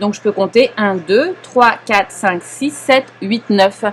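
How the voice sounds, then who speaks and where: Lively intonation marks this very slow delivery, heard over noticeable background noise. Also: woman. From Paris, France. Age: 40s. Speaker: knitting teacher. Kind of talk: live knitting class instruction. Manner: calm, patient.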